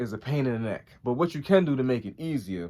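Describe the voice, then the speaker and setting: A man talks at a fairly quick pace and medium pitch, his intonation lively. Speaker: YouTuber. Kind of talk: tutorial.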